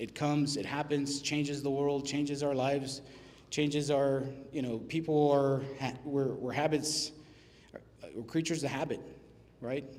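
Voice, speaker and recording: With an American accent, the speaker talks in a monotone, flat way at a moderate pace, with audible room echo. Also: man. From Texas, Laredo. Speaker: restaurant business owner. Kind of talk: business presentation. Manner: casual, halting with fillers.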